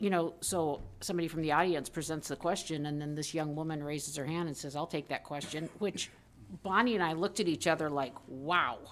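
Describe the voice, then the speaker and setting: A fairly quick pace with ordinary pitch variation. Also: woman. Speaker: school board member. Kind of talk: board meeting report. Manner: loud.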